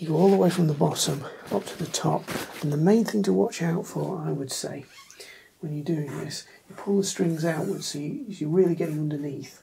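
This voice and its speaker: A quiet voice speaks at a fairly quick pace over light background noise. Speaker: guitar tutorial youtuber. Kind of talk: tutorial. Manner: quiet, keeping voice down; hesitant with fillers. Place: home room. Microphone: camera far.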